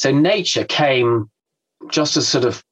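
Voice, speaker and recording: Here a man speaks with an English accent. His pitch is fairly high. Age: 60s. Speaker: environmental campaigner. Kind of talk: casual chat. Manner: halting.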